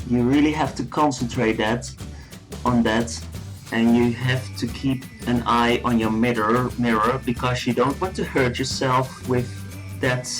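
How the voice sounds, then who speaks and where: A man's medium-pitched voice at a fairly slow pace over background music. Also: ordinary pitch variation. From Netherlands. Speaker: male friend of the channel owner, not a makeup expert. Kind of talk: comedic voiceover commentary on a makeup tutorial. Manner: hesitant, unsure, naive.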